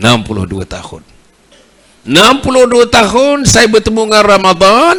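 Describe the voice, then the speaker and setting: A man speaks in a raised, projected voice with a high pitch and ordinary pitch variation. His loudness swings widely, at a moderate pace. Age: 70s. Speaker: religious preacher. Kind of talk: sermon. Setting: mosque.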